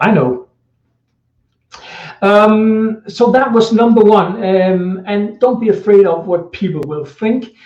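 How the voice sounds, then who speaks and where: Here a man speaks in a Danish accent. His pace is very slow. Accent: Danish accent, non-native English. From Denmark. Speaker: social media marketing coach. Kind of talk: live video tutorial. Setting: indoors, Facebook live stream. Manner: halting, many fillers.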